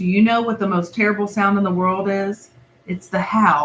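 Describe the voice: The delivery is plain reading aloud. Its intonation is fairly even.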